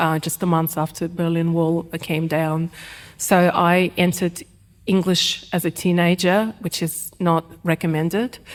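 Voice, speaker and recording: A woman's fairly low, monotone voice at a fairly slow pace, flat in intonation. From Ukraine, Kharkiv. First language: Russian. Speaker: writer. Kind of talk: live panel discussion. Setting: stage with live audience. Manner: hesitant, many fillers.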